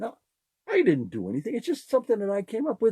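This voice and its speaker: Somewhat breathy, a man talks at a moderate pace. His pitch swings very widely, in a dry, close sound with no echo. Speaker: podcast host. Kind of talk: casual monologue. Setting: live podcast. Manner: animated.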